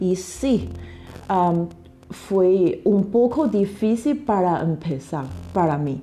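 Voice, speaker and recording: Speaking very slowly with long, frequent pauses, a woman with a Chinese accent uses lively intonation at a medium pitch. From China. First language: Chinese (speaking Spanish). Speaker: literary translator. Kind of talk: interview. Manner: halting, with fillers and repetitions.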